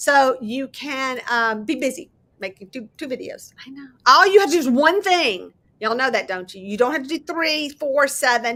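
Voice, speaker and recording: Bright and sharp in tone, the voice swings very widely in pitch. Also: woman. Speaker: crafting YouTuber. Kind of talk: casual chat. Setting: live stream. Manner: fast; loud.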